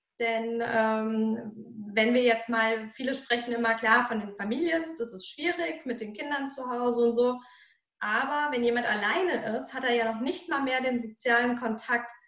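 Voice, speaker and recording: The room echo is audible as a woman speaks. Her pitch is high, with ordinary variation. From Germany, Hesse (Marburg area). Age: 30s. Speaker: mental coach and speaker. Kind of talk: interview conversation.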